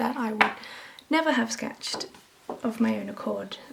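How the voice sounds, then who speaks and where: Soft-spoken and calm, with a relaxed tone, a woman talks at a fairly slow pace over noticeable background noise. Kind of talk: casual talk to camera. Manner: calm, relaxed.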